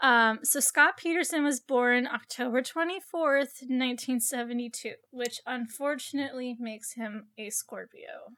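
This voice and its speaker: A woman projects her high, bright and sharp voice at a moderate pace with hardly any pauses, ordinary pitch variation and big swings in loudness. The recording is very clean with a silent background. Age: 20s. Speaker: true crime podcast host. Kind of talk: casual true crime narration. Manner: chatty, filler-heavy.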